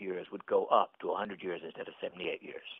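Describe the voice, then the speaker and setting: Very fast male speech. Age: 80s+. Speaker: physician and author. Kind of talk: interview.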